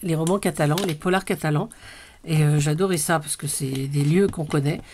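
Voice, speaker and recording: Somewhat breathy and very deep for a woman, her voice moves at a moderate pace with fairly even intonation. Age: 60s. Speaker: crafting vlogger. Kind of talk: casual haul video. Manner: hesitant, many fillers.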